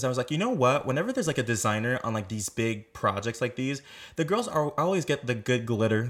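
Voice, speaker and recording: A man speaks at a medium pitch. His tone is animated. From Quebec. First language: French. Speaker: podcast co-host. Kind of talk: casual interview.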